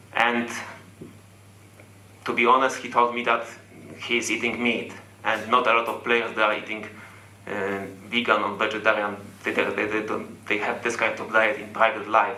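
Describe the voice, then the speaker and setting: Amid noticeable background noise and audible room echo, a man speaks at a moderate pace and medium pitch in a monotone, flat intonation, with long, frequent pauses. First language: not English. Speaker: football fan. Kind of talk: fan Q&A comment. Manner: halting.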